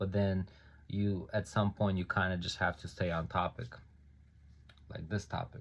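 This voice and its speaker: On a very clean recording with a silent background, a man with a very deep, low pitch speaks somewhat breathily at a moderate pace, with fairly even intonation and long, frequent pauses. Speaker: self-published author. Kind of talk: reading aloud own book; casual talk to camera. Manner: hesitant, many ums.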